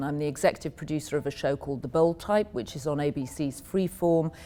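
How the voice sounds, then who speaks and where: Her voice very deep and low, a woman with an American accent speaks in a dark, mellow tone. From England, Yorkshire. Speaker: media executive. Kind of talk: interview.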